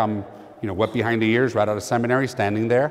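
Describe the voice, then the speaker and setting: A man talks at a very fast pace. His pitch is medium, with a Spanish accent. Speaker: priest. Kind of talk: conference talk with storytelling. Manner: animated.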